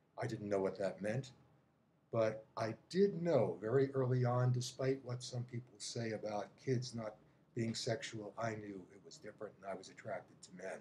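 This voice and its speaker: A man's medium-pitched, somewhat breathy voice at a moderate pace, with ordinary pitch variation and big swings in loudness. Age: 70s. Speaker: psychotherapist. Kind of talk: testimony.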